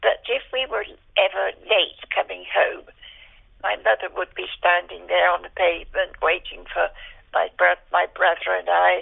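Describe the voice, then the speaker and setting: The speech comes at a fairly slow pace in a West Country accent. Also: woman. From Dorset, south-west England (Dorchester). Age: 90s. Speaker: elderly interviewee sharing memories. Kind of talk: oral history interview. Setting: phone call. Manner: halting, many fillers.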